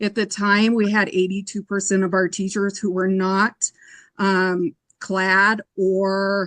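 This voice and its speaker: At a fairly slow pace, a woman with a medium pitch speaks in an unremarkable speaking voice with a dry, close sound and no echo. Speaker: educator, committee applicant. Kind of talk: interview.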